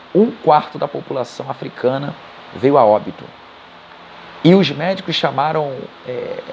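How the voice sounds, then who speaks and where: Male voice, fairly high in pitch, with noticeable noise in the background. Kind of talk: casual spoken retelling of a book. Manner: halting, self-correcting.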